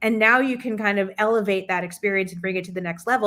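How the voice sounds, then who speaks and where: The woman talks in an ordinary speaking voice, her pitch varying in an ordinary way. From New Jersey, US. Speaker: improv game host, marketing leader. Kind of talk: casual livestream chat.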